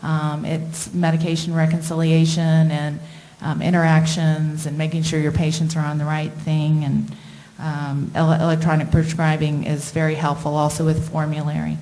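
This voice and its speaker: Amid noticeable background noise and audible room echo, a woman with an American accent speaks at a moderate pace in a very deep, low pitch and a monotone, flat intonation. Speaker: internal medicine doctor. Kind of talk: presentation with slides. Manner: hesitant, many fillers.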